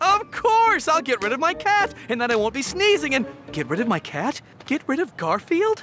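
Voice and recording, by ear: A man uses a cartoonish character voice at an extremely high pitch, with a bright, sharp tone. His pitch swings widely at a moderate pace.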